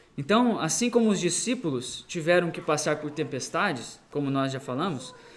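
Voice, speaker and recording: With noticeable noise in the background, a fairly high-pitched man talks at a moderate speed. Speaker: missionary preacher. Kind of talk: sermon. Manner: halting, many fillers.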